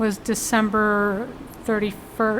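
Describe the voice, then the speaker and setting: A woman speaks at a fairly high pitch. Audible room echo can be heard. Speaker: vlogger. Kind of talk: casual vlog monologue. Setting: grocery store. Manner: halting.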